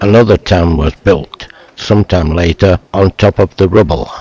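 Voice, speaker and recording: Somewhat breathy and fairly slow, the voice keeps fairly even intonation in a dry, close sound with no echo. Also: man. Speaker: travel video narrator. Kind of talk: scripted narration. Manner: sped-up recorded sentences.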